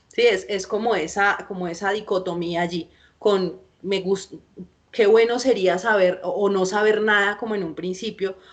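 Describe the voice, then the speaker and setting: A woman speaks at a moderate pace. Her pitch is medium, with fairly even intonation. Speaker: film lecturer. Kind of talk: lecture. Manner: halting.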